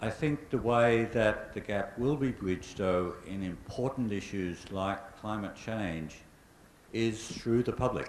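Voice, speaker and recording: With an Australian accent, a man with a fairly low voice speaks at a fairly slow pace with ordinary pitch variation, and audible room echo can be heard. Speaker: climate scientist, invited speaker. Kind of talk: public lecture Q&A answer.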